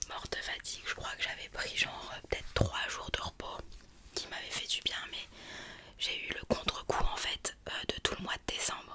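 Whispering comes from a woman. Her pace is moderate. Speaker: video creator. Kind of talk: casual vlog chat. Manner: close-mic ASMR whisper, chatty. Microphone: studio mic.

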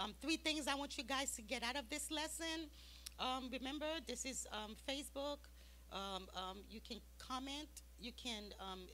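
The speaker keeps a moderate pace over light background noise. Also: woman. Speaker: Sunday school teacher. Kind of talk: sermon-like Bible lesson. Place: church. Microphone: handheld.

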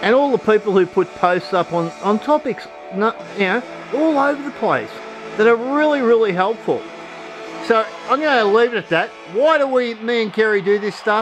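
Over clear music in the background, a man with a high pitch speaks at a moderate pace with ordinary pitch variation. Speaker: off-grid support group host. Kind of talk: casual vlog chat.

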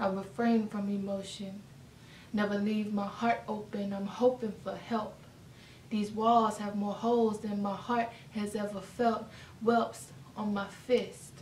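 Somewhat breathy and flat in intonation, a woman speaks at a fairly slow pace amid light background noise and audible room echo. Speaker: spoken word poet. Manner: casual and warm in the intro. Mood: emotional, earnest. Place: home room. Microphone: camera far.

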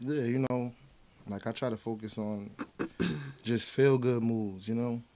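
With long, frequent pauses, a man speaks at a moderate pace in a monotone, flat intonation. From New Jersey, New Brunswick; New Jersey. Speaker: rapper; guest. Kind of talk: interview. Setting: studio. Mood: relaxed, laid-back. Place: studio. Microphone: studio mic.

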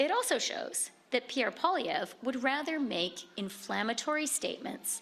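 This is a woman speaking. Light background noise can be heard. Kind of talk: press conference statement. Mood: firm, combative. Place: hall. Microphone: podium.

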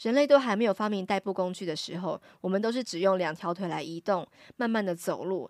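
A woman's voice, dry and close with no echo. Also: very clean recording, silent background. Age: 40s. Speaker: Japanese teacher and podcast host. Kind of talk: solo podcast lecture.

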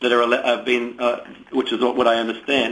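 With a New Zealand accent, a man talks at a fairly quick pace over noticeable background noise. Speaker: politician. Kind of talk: radio interview answer. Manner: full of ums and ahs.

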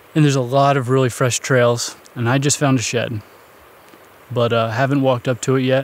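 Monotone and flat, a man talks at a fairly quick pace in a dry sound with no echo. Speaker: outdoor vlogger. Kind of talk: casual vlog chat. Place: forest. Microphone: phone near.

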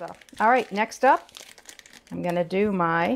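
The woman talks at a fairly slow pace. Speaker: home cooking show host. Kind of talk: tutorial. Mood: cheerful, enthusiastic. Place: kitchen. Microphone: lapel.

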